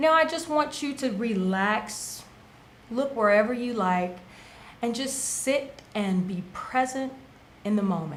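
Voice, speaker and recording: A woman talks with a fairly high pitch and long, frequent pauses. There is noticeable background noise and audible room echo. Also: lively intonation, fairly slow pace. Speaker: wellness show co-host. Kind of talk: casual talk show explanation; guided meditation.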